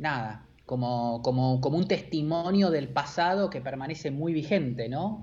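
In an Argentine accent, a man with a fairly high, somewhat breathy voice talks with hardly any pauses and ordinary pitch variation. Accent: Rioplatense Argentine Spanish. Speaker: advertising creative director. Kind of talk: casual interview chat. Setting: live-streamed video call.

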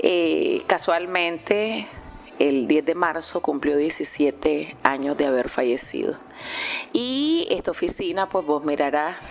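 With a Nicaraguan accent, a woman talks at a very slow pace in a very deep, low pitch, with noticeable background noise. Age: 40s. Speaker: journalist. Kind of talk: interview. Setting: radio station office.

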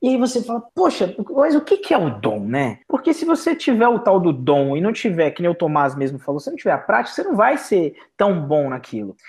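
Hardly any pauses break up the speech. It runs at a fairly quick pace. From Brazilian Northeast. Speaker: salesman, former store manager. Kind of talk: casual podcast conversation.

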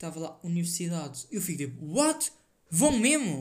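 A man's high voice with a European Portuguese accent and audible room echo. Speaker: solo podcaster. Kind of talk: casual solo monologue. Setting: home desk.

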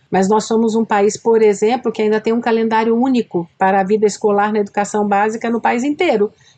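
A woman with a normal speaking voice talks at a fairly quick pace with hardly any pauses, a fairly high pitch, fairly even intonation and very even loudness. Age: 60s. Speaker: school director and educator. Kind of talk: podcast interview.

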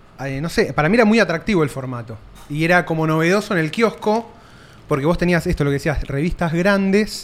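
High pitch for a man, ordinary pitch variation, and a moderate pace. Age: 30s. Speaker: podcast host. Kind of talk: casual interview chat. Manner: casual.

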